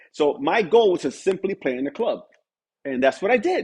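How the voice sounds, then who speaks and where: A man speaks with a New York accent. His pitch is high. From New York City, Spanish Harlem. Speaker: music producer and pianist. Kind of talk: interview conversation.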